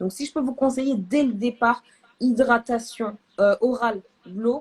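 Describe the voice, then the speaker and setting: Speaking at a fairly slow pace in an animated tone, a woman uses a high pitch, recorded with a dry, close sound and no echo. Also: ordinary pitch variation. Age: 20s. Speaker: therapist and medical student hosting a live. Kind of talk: live video chat. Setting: live stream.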